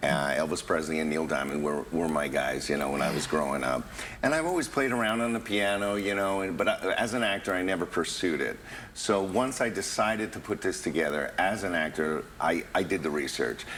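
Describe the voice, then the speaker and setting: Lively intonation from a man with an American accent and a very deep, low pitch, at a fairly quick pace over noticeable background noise. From New York. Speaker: tribute performer and actor. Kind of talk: TV interview. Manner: halting.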